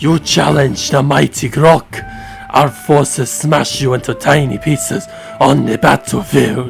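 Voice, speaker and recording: Clear music plays behind a man doing a gruff, put-on character voice at medium pitch. He speaks at a fairly slow pace. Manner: boastful, threatening.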